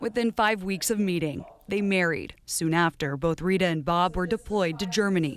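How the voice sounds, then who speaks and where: Here a woman uses a normal speaking voice of medium pitch at a moderate pace. Her pitch varies in an ordinary way and her loudness stays very even. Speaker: TV news reporter. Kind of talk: TV news report narration.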